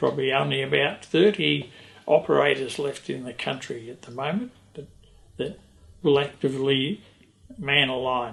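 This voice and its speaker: A man with an Australian accent at a medium pitch and moderate pace, with long, frequent pauses, big swings in loudness and music in the background. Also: ordinary pitch variation. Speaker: retired telegraphist. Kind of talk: documentary interview.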